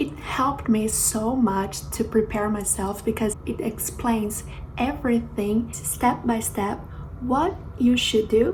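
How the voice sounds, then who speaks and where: A woman with a Portuguese accent at a very slow pace, with audible room echo and noticeable background noise. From Brazil, Rio de Janeiro. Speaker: flight attendant, YouTuber. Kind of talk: vlog tutorial.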